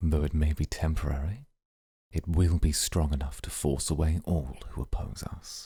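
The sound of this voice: Using a put-on character voice, a man speaks with an extremely low pitch, a dark, mellow tone, a husky, rough edge and fairly even intonation on a very clean recording with a silent background. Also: moderate pace.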